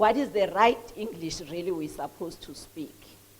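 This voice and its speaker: Over noticeable background noise, a woman with a Mpumalanga South African accent talks at a medium pitch with ordinary pitch variation. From South Africa, Mpumalanga. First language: Swati. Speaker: entrepreneur and author. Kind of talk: speech at a book launch. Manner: halting.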